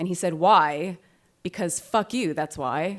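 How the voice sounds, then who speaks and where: A woman's plain, everyday voice, fairly low in pitch, with fairly even intonation. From Canada. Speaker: writer. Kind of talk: live storytelling performance. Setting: live audience.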